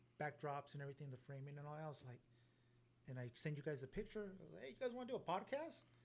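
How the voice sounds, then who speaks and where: This man's voice sits at a fairly high pitch and is somewhat breathy. His pitch varies in an ordinary way. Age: 40s. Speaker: podcast host. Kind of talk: casual chat. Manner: relaxed.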